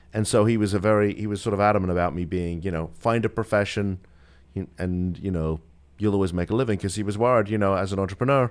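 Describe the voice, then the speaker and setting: The speech comes at a very fast pace in a British accent. Intonation stays fairly even. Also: man, fairly low pitch for a man. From United Kingdom. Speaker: attorney. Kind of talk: radio interview. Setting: studio.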